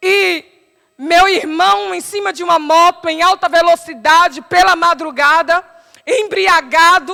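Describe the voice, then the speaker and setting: A woman with a Paraíba accent speaks in a raised, projected voice. Her pitch is extremely high, with ordinary variation. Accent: Paraíba northeastern Brazilian. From Paraíba, Brazilian Northeast. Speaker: preacher. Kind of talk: sermon.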